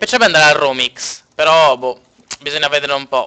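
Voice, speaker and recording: The man's tone is bright and sharp. He speaks very fast. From Sardinia, Cagliari. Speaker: video game streamer. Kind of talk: live gameplay stream chat. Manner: casual, halting with fillers.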